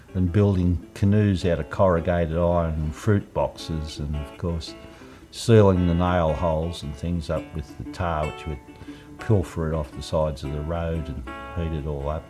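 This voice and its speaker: A man with an Australian accent and a very deep, low pitch speaks at a fairly slow pace with ordinary pitch variation, with music in the background. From Lake Illawarra, New South Wales, Australia. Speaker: naturalist and environmentalist. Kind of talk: reminiscing interview answer. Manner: casual, conversational.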